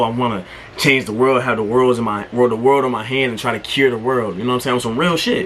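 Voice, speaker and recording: Noticeable background noise surrounds a man's voice. He speaks at medium pitch with fairly even intonation. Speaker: YouTuber. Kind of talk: casual monologue. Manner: halting, stuttering.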